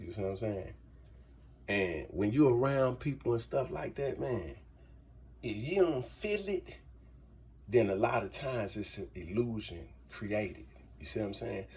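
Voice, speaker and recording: A man's fairly low voice with lively intonation and vocal fry, at a moderate pace broken by long, frequent pauses. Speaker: motivational vlogger. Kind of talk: motivational monologue. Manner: casual, repetitive, halting at times.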